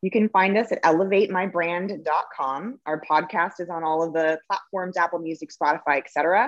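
An unremarkable speaking voice at a moderate pace, with ordinary pitch variation and hardly any pauses. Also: woman, fairly low pitch for a woman. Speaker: marketing agency founder. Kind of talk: casual interview. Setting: audio-only recording. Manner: casual, profane.

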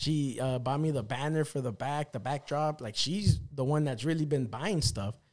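Using an ordinary speaking voice, a man talks at a moderate pace and fairly high pitch with ordinary pitch variation and hardly any pauses. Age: 30s. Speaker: motorcycle vlogger. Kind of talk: casual chat.

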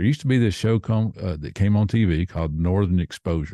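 In a Tennessee accent, the voice has a dark, mellow tone and lively intonation at a fairly quick pace. The sound is dry and close with no echo, over a quiet background. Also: man. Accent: Southern US (Tennessee). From US South, Nashville, Tennessee. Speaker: podcaster. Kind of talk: casual chat.

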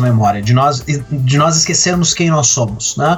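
Music plays behind a man with a fairly high pitch. He speaks at a moderate pace with lively intonation. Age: 30s. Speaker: literature professor and author. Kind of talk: casual chat. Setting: remote call.

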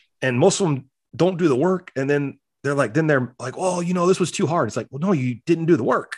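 A man talks at a fairly quick pace in a fairly high pitch. He has a plain, everyday voice with ordinary pitch variation. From US Midwest (South Dakota). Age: 40s. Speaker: gym owner and business coach. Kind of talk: casual interview.

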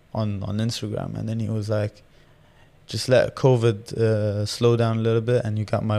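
This man has a dark, mellow tone and a monotone, flat delivery at a moderate pace. The recording is very clean, with a silent background. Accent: Arabic. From Jordan. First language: Arabic. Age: 20s. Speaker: professional boxer. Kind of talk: casual interview.

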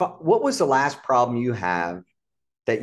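Vocal fry and very wide pitch swings at a moderate pace. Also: man. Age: 50s. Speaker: serial entrepreneur. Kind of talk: casual chat. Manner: animated.

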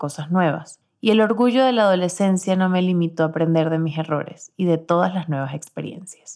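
This woman has a plain, everyday voice with a fairly low pitch. Her pace is moderate. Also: very clean recording, silent background. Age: 20s. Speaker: podcast host. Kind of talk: scripted narration. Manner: warm, intimate.

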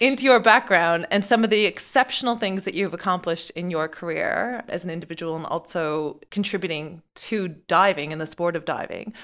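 In an ordinary speaking voice, a woman at medium pitch talks at a fairly quick pace with hardly any pauses, ordinary pitch variation and big swings in loudness. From Newfoundland, Canada. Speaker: podcast co-host, ultracyclist and PR specialist. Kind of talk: casual interview chat.

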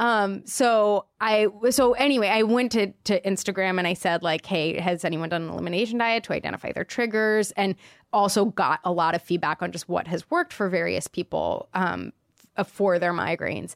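An ordinary speaking voice from a woman at medium pitch, with ordinary pitch variation, a moderate pace and a dry, close sound with no echo. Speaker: podcast co-host. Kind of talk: casual chat. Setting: studio.

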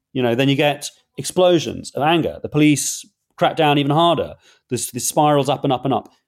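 A man with a London accent, fairly high-pitched and with fairly even intonation. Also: fairly quick pace. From London, England. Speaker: author and journalist. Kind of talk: interview.

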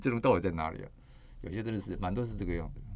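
Rattling along at a very fast pace, this man talks in a fairly low pitch. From Taiwan, Kaohsiung. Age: 60s. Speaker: architect and author. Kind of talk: interview.

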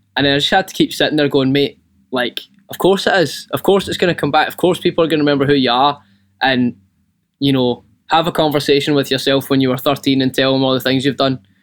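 At a very fast pace, a man with a Scottish accent speaks at a fairly high pitch with fairly even intonation. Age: 20s. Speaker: band singer and guitarist.

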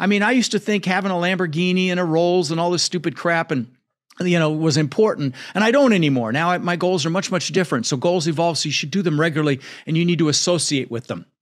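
Against a quiet background, a man talks at a very fast pace in a high pitch with ordinary pitch variation. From Netherlands. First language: Dutch. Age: 60s. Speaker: real estate investor and podcast host. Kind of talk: casual interview chat. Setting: studio.

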